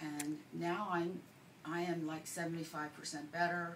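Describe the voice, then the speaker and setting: A woman's very deep, low pitch at a moderate pace, amid noticeable background noise and audible room echo. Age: 60s. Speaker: patient giving testimonial, nurse. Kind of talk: testimony.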